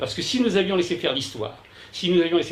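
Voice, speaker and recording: Noticeable background noise and audible room echo surround the speaker. A man talks at a very fast pace. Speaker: journalist and essayist giving a talk. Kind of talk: conference lecture. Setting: conference room with live audience. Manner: loud; hesitant, many fillers and repetitions.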